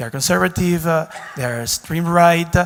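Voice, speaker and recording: Fairly high male pitch in a Spanish accent. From Dominican Republic. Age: 30s. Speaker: diplomat. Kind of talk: audience question.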